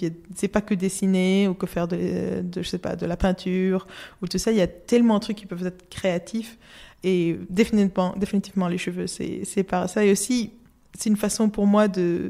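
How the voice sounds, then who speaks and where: Captured in a very clean recording over a silent background, a woman talks at a moderate pace and medium pitch with fairly even intonation. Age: 20s. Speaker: illustrator. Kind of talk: interview. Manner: halting.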